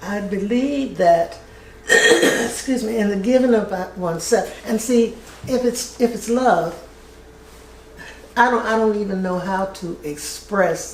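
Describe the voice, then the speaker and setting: A woman with a fairly high pitch and ordinary pitch variation, at a fairly slow pace with long, frequent pauses, amid noticeable background noise and audible room echo. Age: 80s+. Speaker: retired family services worker. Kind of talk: interview. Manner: halting.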